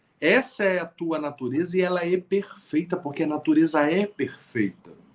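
Lively in intonation, a man with a high pitch speaks at a fairly slow pace. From Brazil, Niterói (Rio de Janeiro state). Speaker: writer and motivational speaker. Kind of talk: interview conversation.

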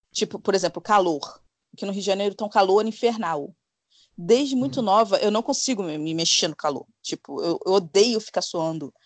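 Her voice is an unremarkable speaking voice, with a medium pitch and lively intonation at a moderate pace. The woman is heard against a quiet background, the sound dry and close with no echo. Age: 40s. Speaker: podcaster. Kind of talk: casual chat.

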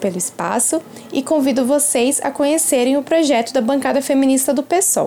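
A woman speaks over noticeable background noise. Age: 20s. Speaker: activist and political candidate. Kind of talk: prepared statement. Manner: formal.

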